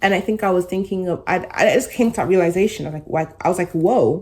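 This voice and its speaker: A woman's dark, mellow tone comes across on a very clean recording against a silent background. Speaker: vlogger, law student. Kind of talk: casual reflective vlog.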